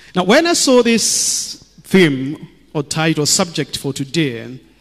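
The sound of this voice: A man's fairly high voice, slow, with big pitch swings.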